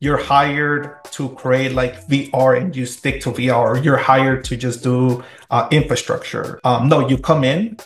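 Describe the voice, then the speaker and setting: A somewhat breathy man at a fairly slow pace, fairly even intonation, and audible room echo. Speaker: remote guest. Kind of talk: interview answer. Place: home room. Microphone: video call.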